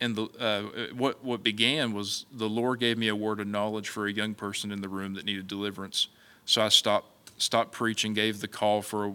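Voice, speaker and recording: In a very clean recording with a silent background, a man with a fairly low pitch and a bright, sharp tone talks at a fairly quick pace in a monotone, flat intonation. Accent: Appalachian. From West Virginia. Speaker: evangelist. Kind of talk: interview.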